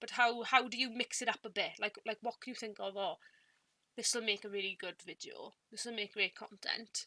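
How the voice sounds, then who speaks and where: In a Welsh accent, a woman speaks at a moderate pace with fairly high pitch and a bright, sharp tone. Her loudness swings widely while her intonation stays fairly even, in a dry, close sound with no echo. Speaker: booktuber. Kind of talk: casual talk to camera, partly scripted. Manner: halting, repeated words. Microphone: some audio issues.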